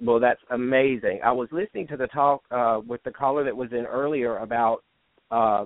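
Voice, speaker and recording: A man with a normal speaking voice and an American accent speaks at a moderate pace, medium in pitch, with fairly even intonation. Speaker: author. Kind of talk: casual chat.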